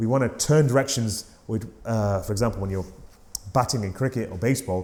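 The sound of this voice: A man talks at a fairly quick pace with a fairly low pitch. His tone is dark and mellow, and his pitch varies in an ordinary way.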